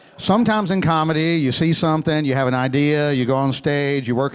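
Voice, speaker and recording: With an American accent, this speaker talks at a very fast pace with ordinary pitch variation. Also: man. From US South, Alabama. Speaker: stand-up comedian. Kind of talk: stand-up.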